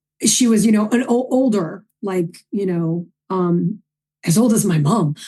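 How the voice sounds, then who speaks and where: With a New York accent, a woman speaks in a fairly high, somewhat breathy voice of dark, mellow tone and lively intonation. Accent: New York accent, toned down. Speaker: filmmaker. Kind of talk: casual interview chat. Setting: podcast interview. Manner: animated.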